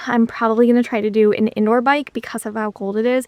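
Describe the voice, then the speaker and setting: A woman talks very fast at a fairly high pitch, her intonation monotone and flat. The sound is dry and close, with no echo. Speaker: dietitian and video blogger. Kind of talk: vlog monologue. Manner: casual.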